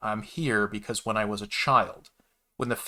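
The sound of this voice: Against a quiet background comes an unforced reading voice. Its pitch varies in an ordinary way.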